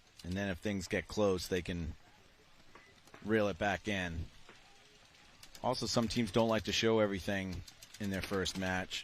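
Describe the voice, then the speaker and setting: A man with a Boston accent speaks at a moderate pace, fairly low in pitch. His intonation is fairly even, with long, frequent pauses. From Boston, US Northeast. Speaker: paintball commentator. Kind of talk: live commentary.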